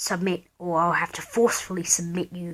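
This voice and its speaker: A woman uses a put-on character voice, growling at a fairly low pitch and a fairly quick pace in a monotone, flat way. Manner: menacing, commanding.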